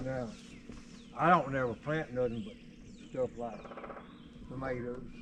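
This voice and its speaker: A man with a Southern US accent talks at a fairly slow pace, pausing long and often. His loudness swings widely over noticeable background noise. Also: medium pitch for a man, ordinary pitch variation. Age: 80s+. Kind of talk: casual conversation.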